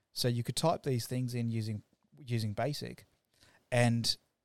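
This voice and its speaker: A man with an Australian accent speaks at a medium pitch. The recording is very clean, the background silent, and the sound dry and close with no echo. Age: 40s. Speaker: web developer. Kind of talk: casual chat. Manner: halting.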